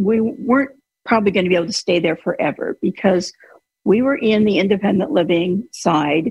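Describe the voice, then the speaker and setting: A woman's medium-pitched voice comes across somewhat breathy. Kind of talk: casual chat. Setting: video call.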